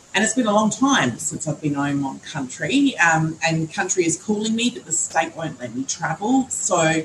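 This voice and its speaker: Speaking at a moderate pace, a woman with a fairly low pitch makes very wide pitch swings over noticeable background noise. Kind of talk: panel discussion.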